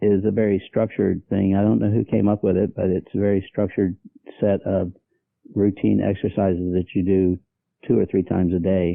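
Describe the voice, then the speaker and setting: A man speaks with a very deep, low pitch, ordinary pitch variation and very even loudness. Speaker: patient with Parkinson's disease. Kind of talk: interview. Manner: halting.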